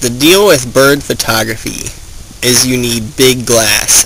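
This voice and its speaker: With noticeable background noise around him, a man talks at a medium pitch. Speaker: student bird artist and photographer. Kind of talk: documentary interview. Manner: casual, conversational.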